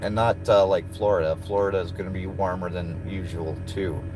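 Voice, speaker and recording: Music plays in the background as a man talks at a moderate pace. His pitch is fairly low. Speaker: truck driver and streamer. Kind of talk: casual live stream chat. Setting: in a truck.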